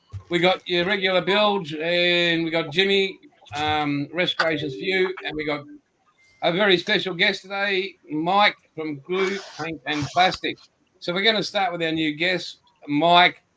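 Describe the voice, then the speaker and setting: A man with an Australian accent and a high pitch speaks at a fairly slow pace with fairly even intonation. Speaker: podcast host. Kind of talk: casual chat.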